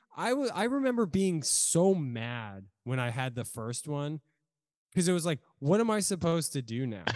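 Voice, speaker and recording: A man with an American accent, fairly high in pitch, at a moderate pace with very wide pitch swings against a quiet background. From Virginia, Norfolk. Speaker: drummer. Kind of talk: casual chat.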